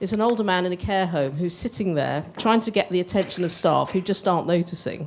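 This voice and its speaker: Talking at a very fast pace, a woman with a British accent uses a fairly low pitch and ordinary pitch variation. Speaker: older people's charity representative. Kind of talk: panel discussion.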